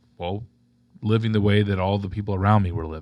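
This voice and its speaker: With an American accent, a man has an unremarkable speaking voice, fairly low pitch and fairly even intonation, in a very clean recording with a silent background. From Florida (Tampa). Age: 40s. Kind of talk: casual conversation.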